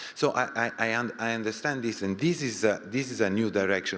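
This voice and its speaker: This man has a medium pitch and speaks in a French accent. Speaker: audience member asking a question. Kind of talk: panel Q&A discussion. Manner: halting.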